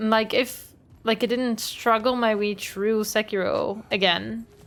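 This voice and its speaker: A woman talks at a fairly slow pace in a fairly high pitch. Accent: Dutch. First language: Dutch. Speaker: video game streamer. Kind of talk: live gameplay commentary. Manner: casual, chatty.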